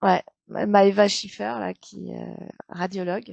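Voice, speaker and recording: Very slow and full of vocal fry, a woman's very deep, low voice swings very widely in pitch. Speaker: talk show host. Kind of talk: casual chat. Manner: halting.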